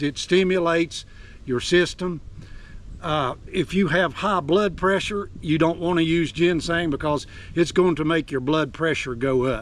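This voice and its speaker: A man speaks with an Appalachian accent. His pitch sits high. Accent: Appalachian Southern US. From Appalachia, Virginia. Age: 70s. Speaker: outdoorsman, forager. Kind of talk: outdoor tutorial vlog. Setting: outdoors on a mountain. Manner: casual, folksy.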